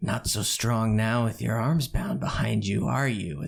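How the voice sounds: A raspy, put-on character voice at a moderate pace. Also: man, medium pitch for a man.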